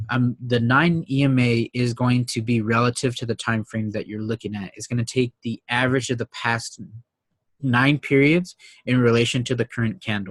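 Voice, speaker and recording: Here a man with an unremarkable speaking voice talks at a moderate pace with fairly even intonation. The sound is dry and close, with no echo. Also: medium pitch for a man. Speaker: trading educator. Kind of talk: tutorial.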